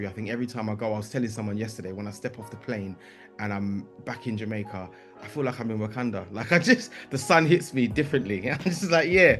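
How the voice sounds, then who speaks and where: Music plays in the background as a man with a London accent talks at a very fast pace. His pitch is medium, with lively intonation. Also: big swings in loudness. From East London. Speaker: writer, composer and performer. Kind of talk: podcast interview answer.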